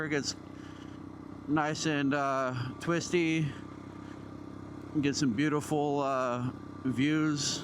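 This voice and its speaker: Slowly and at a fairly high pitch, a man speaks with monotone, flat intonation. Noticeable background noise is present, and his pace is very slow. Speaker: motovlogger. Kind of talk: casual motovlog talk while riding. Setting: outdoors, on a motorcycle, wireless mic.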